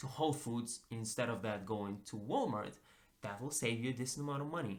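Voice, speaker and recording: A man speaks with a non-native accent at a moderate pace. His medium pitch has ordinary variation. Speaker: personal finance YouTuber. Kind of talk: casual talk to camera.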